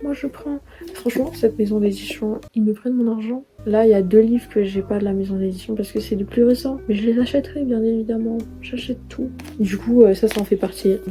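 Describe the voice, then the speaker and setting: Music plays behind a woman with a fairly high pitch. She speaks at a fairly quick pace with ordinary pitch variation. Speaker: book youtuber. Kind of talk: casual talk to camera. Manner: chatty, rambling.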